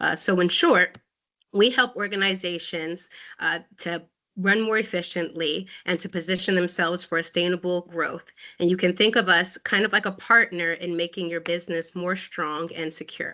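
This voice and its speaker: Fairly low female voice with fairly even intonation, against a quiet background. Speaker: risk management consultant. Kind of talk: webinar presentation. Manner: fast.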